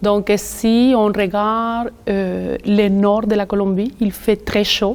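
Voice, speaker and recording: At medium pitch, a woman speaks at a very slow pace with very even loudness. Her intonation is monotone and flat. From Colombia. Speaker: community worker for immigrant women. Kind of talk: interview.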